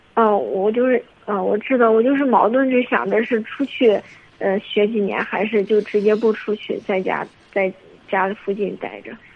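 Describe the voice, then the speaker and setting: A woman with a fairly high voice speaks at a moderate pace over noticeable background noise. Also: fairly even intonation. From Henan, China. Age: 20s. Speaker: caller seeking relationship advice. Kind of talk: phone-in advice call. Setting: phone call. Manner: halting.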